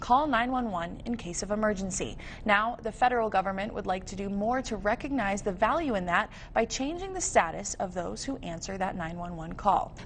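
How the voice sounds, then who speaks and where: Lively intonation from a woman at medium pitch and a fairly quick pace, with noticeable background noise. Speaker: TV news anchor and reporter. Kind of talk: TV news anchor delivery.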